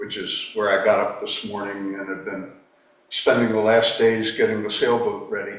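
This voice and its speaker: A man talks at a moderate pace, with big swings in loudness. Audible room echo and noticeable background noise fill the recording. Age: 70s. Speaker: retired attorney, committee member. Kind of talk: self-introduction at a town committee meeting.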